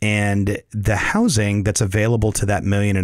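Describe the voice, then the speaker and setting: A man speaks with a Southern US accent. His pitch is fairly low and his pace is moderate. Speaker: real estate agent and property manager. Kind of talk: informative conversational discussion.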